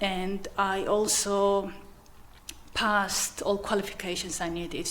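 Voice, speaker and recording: Through audible room echo and noticeable background noise, a woman with a Georgian accent speaks at a fairly slow pace. Her pitch is medium and her intonation fairly even. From Georgia (country). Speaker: commercial manager and magistrate. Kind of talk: interview.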